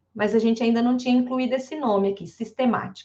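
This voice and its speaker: A woman's fairly high-pitched voice, an ordinary speaking voice, at a fairly quick pace. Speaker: math professor and researcher. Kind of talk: online lecture.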